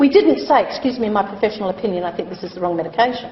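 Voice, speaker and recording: Noticeable background noise and audible room echo surround a woman speaking with a fairly high pitch and ordinary pitch variation. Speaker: chief nurse and hospital executive. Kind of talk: lecture. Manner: loud.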